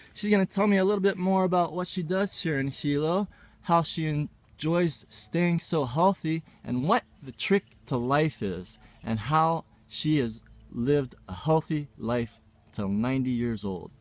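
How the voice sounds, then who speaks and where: Speaking fairly slowly with lively intonation, a man uses an unremarkable speaking voice at a fairly high pitch in a very clean recording with a silent background. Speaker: interviewer. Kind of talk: interview questions.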